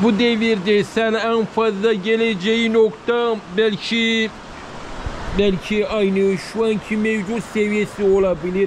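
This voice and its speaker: Speech at a very slow pace, with monotone, flat intonation and very even loudness, comes through over noticeable background noise. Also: man, high pitch for a man. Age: 40s. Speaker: village vlogger. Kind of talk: casual vlog talk to camera. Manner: halting.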